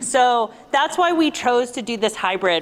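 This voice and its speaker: Over noticeable background noise, a woman speaks loudly in a high-pitched voice. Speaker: quilt and fabric designer. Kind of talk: trade show presentation.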